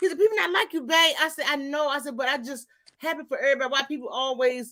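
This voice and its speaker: A woman talks at a very fast pace in a high, raised, projected voice. Her tone is animated, bright and sharp, with lively intonation. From Mississippi, US South. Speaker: live stream host. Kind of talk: casual chat.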